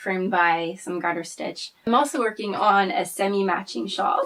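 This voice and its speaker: Here a woman with a French Canadian accent speaks at a moderate pace in a medium pitch, with ordinary pitch variation. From French Canada. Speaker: knitter and archivist. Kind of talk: casual personal talk to camera.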